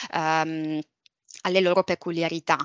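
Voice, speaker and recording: A woman speaks in a fairly low pitch with a bright, sharp tone and flat, monotone intonation. The sound is dry and close with no echo, over a quiet background. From Sicily, Palermo. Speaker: property manager in logistics real estate. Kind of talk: interview. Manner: hesitant, many fillers.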